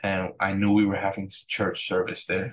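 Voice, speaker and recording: A man talks at a fairly low pitch in a monotone, flat intonation. Light background noise can be heard. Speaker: church pastor. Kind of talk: telling a story about a dream. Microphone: webcam.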